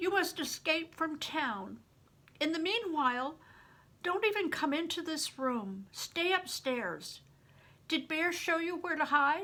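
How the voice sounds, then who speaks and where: A woman puts on a character voice at an extremely high pitch. She talks at a fairly slow pace with lively intonation. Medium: read story. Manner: weary, blunt.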